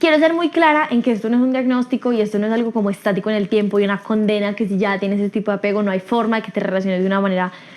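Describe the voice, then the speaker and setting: Very fast, fairly high speech from a woman, ordinary pitch variation, noticeable noise in the background. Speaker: podcast host. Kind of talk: solo podcast talk.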